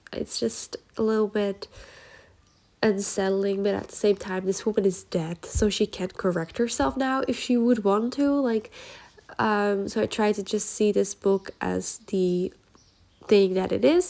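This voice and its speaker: Speaking at a fairly slow pace, a woman with a Dutch accent has a dark, mellow tone and medium pitch. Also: ordinary pitch variation. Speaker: journaling YouTuber. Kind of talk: casual vlog book review. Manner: casual, filler-heavy.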